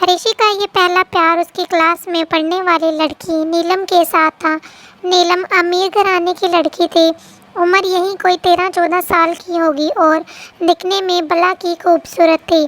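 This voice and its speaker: A woman's extremely high, monotone voice with flat intonation, at a fairly slow pace, in a dry, close sound with no echo. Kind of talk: bedtime story. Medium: read story. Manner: gentle, emotional.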